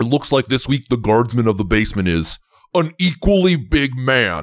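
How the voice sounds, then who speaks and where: A man uses a put-on character voice at medium pitch, recorded very cleanly against a silent background. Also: moderate pace. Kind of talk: comic overacting. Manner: brash, confident, macho.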